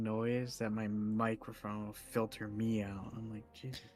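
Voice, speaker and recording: Soft-spoken and at a moderate pace, a man talks at a medium pitch. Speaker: gaming stream co-player. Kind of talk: casual chat.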